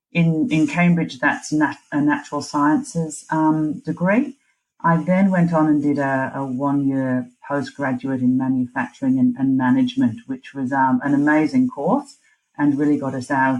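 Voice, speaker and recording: A woman speaks with a very deep, low pitch. Her pace is moderate and her intonation fairly even. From northeast England, Newcastle. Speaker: supply chain director. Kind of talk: podcast interview.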